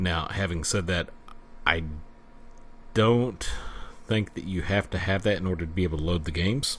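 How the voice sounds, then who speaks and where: Speaking with a Southern US accent, a man with a very deep, low voice and ordinary pitch variation moves at a moderate pace, leaving long, frequent pauses. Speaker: retro computer YouTuber. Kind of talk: product review and unboxing. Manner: halting, many fillers.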